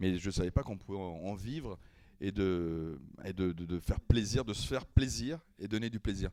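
This man's very deep, low voice has a dark, mellow tone and lively intonation. He speaks at a moderate pace, with big swings in loudness. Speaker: impressionist and singer. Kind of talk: casual chat.

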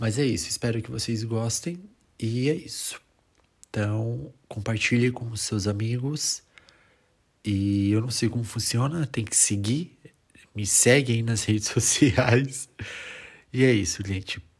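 Somewhat breathy and at a medium pitch, a man talks at a fairly slow pace with ordinary pitch variation and long, frequent pauses. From Brazil. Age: 20s. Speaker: podcast host. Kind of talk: solo podcast introduction. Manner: halting, with fillers.

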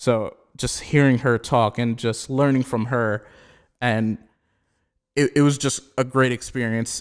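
Here a man with an American accent speaks at medium pitch in a monotone, flat intonation. He leaves long, frequent pauses, and the recording is very clean with a silent background. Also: fairly slow pace. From Pennsylvania, Allentown. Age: 20s. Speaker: graphic designer. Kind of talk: casual interview.

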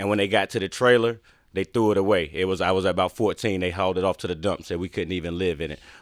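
Very deep and low, a man's voice moves at a very fast pace with fairly even intonation, in a North Carolina accent. The recording is very clean with a silent background, and the sound is dry and close with no echo. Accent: Southern US (North Carolina). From Eastern North Carolina, US South. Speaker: motivational speaker and entrepreneur. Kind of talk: interview conversation. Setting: studio.

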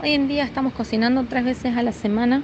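A woman speaks over noticeable background noise. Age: 30s. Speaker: soup kitchen volunteer. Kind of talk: interview testimony.

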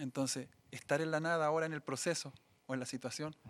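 Fairly quick speech with a Chilean accent and fairly even intonation, on a very clean recording with a silent background. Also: man. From Chile, Biobío region (Coronel). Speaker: musician, sound engineer and church minister. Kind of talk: casual interview; sermon-like testimony.

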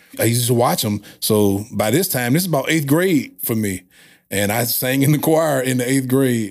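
At a medium pitch with ordinary pitch variation, a man speaks at a moderate pace in a very clean recording with a silent background. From St. Louis, Missouri. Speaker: radio host and music producer. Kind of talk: podcast interview.

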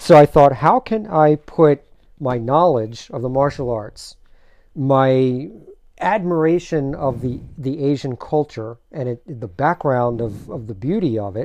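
A man with an American accent speaks in an ordinary speaking voice, fairly high-pitched and fairly slow, with lively intonation and big swings in loudness over a quiet background. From Maryland, Silver Spring. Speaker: martial artist and actor. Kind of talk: casual interview. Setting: studio.

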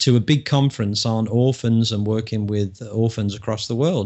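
With an English accent, a man is speaking. His pace is moderate and his pitch variation ordinary. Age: 50s. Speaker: public speaker and coach. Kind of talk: casual interview chat.

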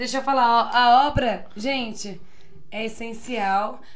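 This woman's voice sits high in pitch with ordinary pitch variation. She speaks at a fairly slow pace, and room echo is audible. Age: 20s. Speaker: podcast guest, bar worker. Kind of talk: casual chat.

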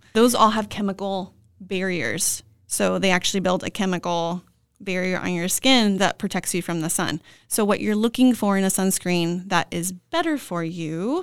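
A very clean recording with a silent background, moderate pace and ordinary pitch variation. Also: woman, medium pitch for a woman. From Southern California, Ventura County. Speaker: nurse practitioner, medical spa founder. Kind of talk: casual interview.

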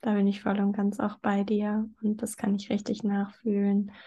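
In a quiet background, a woman speaks at a medium pitch, her dark, mellow tone somewhat breathy and her intonation monotone and flat. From southern Germany, near Stuttgart. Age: 20s. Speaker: blogger and podcaster on eating disorder recovery. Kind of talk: interview conversation.

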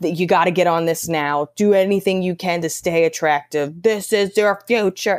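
On a very clean recording with a silent background, a woman with a fairly low pitch speaks at a moderate pace with fairly even intonation and hardly any pauses. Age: 30s. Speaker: stand-up comedian and podcast host. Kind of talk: casual chat.

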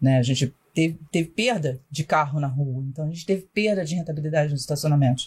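At a very fast pace, a woman with a very deep, low pitch talks in a somewhat breathy voice with ordinary pitch variation. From Rio de Janeiro, Brazil. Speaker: parking industry consultant. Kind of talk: casual interview.

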